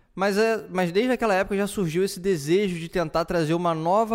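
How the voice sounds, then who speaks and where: A man's voice is captured on a very clean recording, the background completely silent. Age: 30s. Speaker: podcast host. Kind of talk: solo podcast monologue. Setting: home living room. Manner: halting, many fillers.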